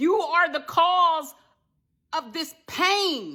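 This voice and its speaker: A woman's raised, projected voice comes through with a bright, sharp tone. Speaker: motivational speaker. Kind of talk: direct-to-camera vlog rant. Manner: loud; animated.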